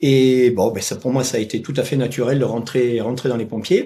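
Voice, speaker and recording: A man's dark, mellow voice at medium pitch. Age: 60s. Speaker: retired firefighter and dog trainer. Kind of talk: interview. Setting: podcast. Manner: halting, many hesitations.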